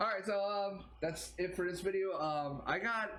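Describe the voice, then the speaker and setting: A man talks with a bright, sharp tone and lively intonation. Room echo is audible. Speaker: YouTube reaction video creator. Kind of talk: casual vlog commentary. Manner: halting, many fillers.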